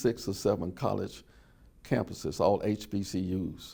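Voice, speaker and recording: A man speaks with a dark, mellow tone. Vocal fry is present in his voice. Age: 70s. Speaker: oral history interviewee. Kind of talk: oral history interview.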